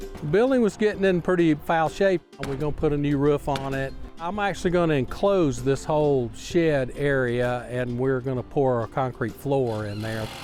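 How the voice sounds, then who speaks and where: Music plays in the background. The speaker talks at a moderate pace with lively intonation. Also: man, fairly high pitch for a man. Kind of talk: interview answer.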